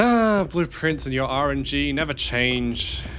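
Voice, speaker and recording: A man with an Australian accent at a medium pitch, his tone animated, bright and sharp. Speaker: streamer playing video games. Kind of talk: casual live gameplay commentary. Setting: livestream.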